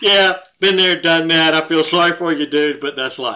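A man speaks with a Southern US accent in a bright, sharp tone. The recording is very clean, with a silent background. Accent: Southern American. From Georgia. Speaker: podcast co-host, parent. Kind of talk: casual interview.

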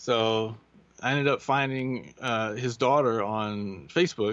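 Speaking with a Kentucky accent, a man uses a medium pitch and ordinary pitch variation. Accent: Kentucky Southern US. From US Kentucky. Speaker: translator. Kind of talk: casual interview.

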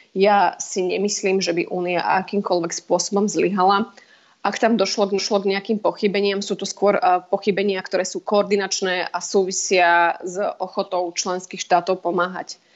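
A woman talks in a monotone, flat intonation at medium pitch. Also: moderate pace. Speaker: parliamentary advisor. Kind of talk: interview. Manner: hesitant, many fillers.

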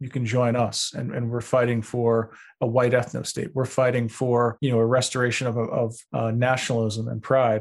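A man with a New York accent talks at a moderate pace and medium pitch, with hardly any pauses. His intonation is monotone and flat, on a very clean recording with a silent background. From Long Beach, New York. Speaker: terrorism researcher. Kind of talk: interview.

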